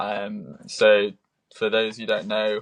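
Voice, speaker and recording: A man with a British accent at a fairly slow pace. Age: 20s. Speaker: triathlete. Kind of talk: podcast interview. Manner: hesitant, many fillers.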